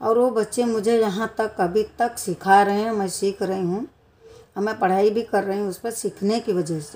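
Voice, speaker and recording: A woman at medium pitch speaks with fairly even intonation. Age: 60s. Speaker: vlogger, grandmother. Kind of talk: personal vlog monologue. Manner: halting.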